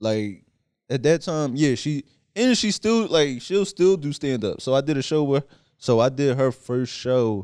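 In a Philadelphia accent, a man speaks at a fairly slow pace. His pitch is fairly high and his intonation lively. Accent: Philly. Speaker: stand-up comedian. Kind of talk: casual chat.

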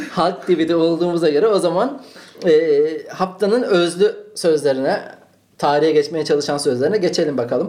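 Over noticeable background noise, a man with a high pitch speaks at a moderate pace, his loudness very even and his pitch variation ordinary. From Turkey, Malatya then Ankara. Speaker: podcast host. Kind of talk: casual chat.

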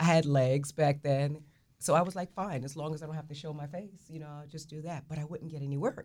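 Fairly quick delivery in a New Jersey accent, with a dark, mellow tone, big swings in loudness and fairly even intonation. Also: woman, very deep, low pitch for a woman. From Newark, New Jersey. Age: 60s. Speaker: fashion stylist. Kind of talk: radio talk show conversation.

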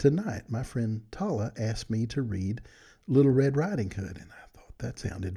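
The speaker is reading aloud in a natural voice. The delivery stays that way throughout.

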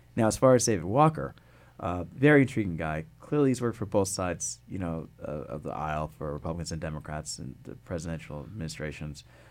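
With music in the background, a man with a very deep, low pitch talks at a very fast pace, making very wide pitch swings and big swings in loudness. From Connecticut, West Hartford. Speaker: political science professor. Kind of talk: interview.

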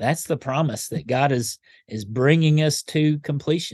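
In a Kentucky accent, a man speaks at a fairly slow pace with a fairly high pitch and ordinary pitch variation, against a quiet background. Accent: Southern US (Kentucky). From western Kentucky (Paducah). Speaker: pastor. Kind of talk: interview conversation. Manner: halting, with many fillers.

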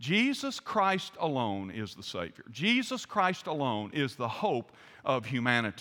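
A Southern US accent from a man at a fairly high pitch, with very wide pitch swings, big swings in loudness, a bright, sharp tone, and a very clean recording with a silent background. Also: fairly slow pace. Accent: Southern American. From US South. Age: 60s. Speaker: pastor. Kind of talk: sermon.

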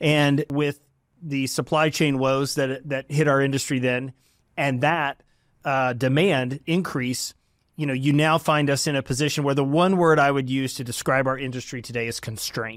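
A man with a Texan accent, fairly high pitch, fairly even intonation and a moderate pace. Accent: Texan American. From Texas, Dallas area. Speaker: company founder and CEO. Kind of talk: interview.

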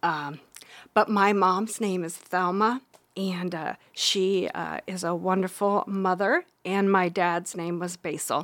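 A woman with a Midwestern US accent talks at a very slow pace and medium pitch, her intonation fairly even, in a very clean recording with a silent background. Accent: US Midwest. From Iowa, Harlan area. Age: 50s. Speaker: bakery owner and medium. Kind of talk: personal testimony.

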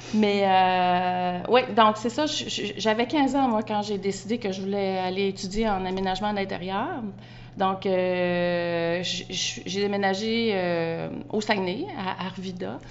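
Speech comes at a very slow pace with ordinary pitch variation, audible room echo and noticeable background noise. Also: woman, medium pitch for a woman. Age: 50s. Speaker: home stager and interior designer. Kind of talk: casual interview. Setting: outdoors in a backyard.

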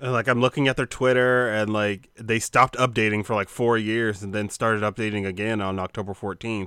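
At a fairly quick pace with hardly any pauses, a bright, sharp voice keeps a fairly even intonation, heard dry and close with no echo in a very clean recording with a silent background. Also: man, fairly low pitch for a man. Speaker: podcast co-host. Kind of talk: casual chat.

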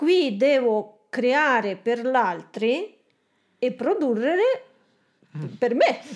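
A woman with a Belarusian accent speaks in a high voice at a very slow pace. Her speech has long, frequent pauses. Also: lively intonation. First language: Russian (speaking Italian). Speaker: aspiring entrepreneur. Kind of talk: coaching session. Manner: halting.

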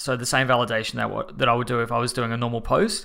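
A man with an Australian accent, medium in pitch, with fairly even intonation and a bright, sharp tone. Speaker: podcast host, web developer. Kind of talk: casual chat.

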